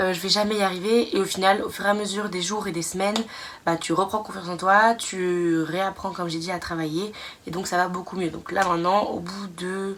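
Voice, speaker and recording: A woman talks at a fairly quick pace, medium-pitched and flat in a monotone. Noticeable background noise sits behind her. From France. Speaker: nursing student vlogger. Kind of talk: casual vlog monologue. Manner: hesitant, many fillers.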